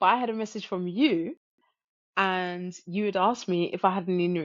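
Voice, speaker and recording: Here is a woman with a British accent. Her pitch sits in the medium range. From UK. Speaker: guest sharing out-of-body experience. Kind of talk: testimony.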